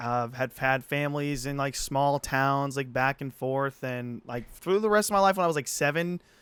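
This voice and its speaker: In a Midwestern American accent, a man with a fairly high pitch and ordinary pitch variation speaks at a moderate pace, the sound dry and close with no echo and the recording very clean over a silent background. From Illinois, US Midwest. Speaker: podcast co-host. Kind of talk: casual chat. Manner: halting.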